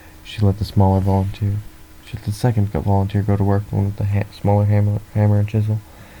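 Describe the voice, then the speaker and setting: Very fast and monotone, a man speaks with flat intonation at a fairly low pitch. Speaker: audiobook reader. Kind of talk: read story.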